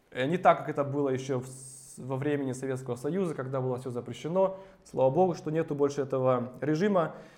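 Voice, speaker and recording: Amid audible room echo, a man talks at a very fast pace in a fairly high pitch with ordinary pitch variation. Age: 30s. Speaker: preacher. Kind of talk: sermon.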